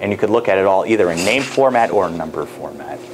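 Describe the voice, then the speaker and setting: A man with an American accent speaks at a fairly low pitch with ordinary pitch variation, amid noticeable background noise and audible room echo. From New York State. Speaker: professor. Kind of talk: lecture. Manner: fast; casual.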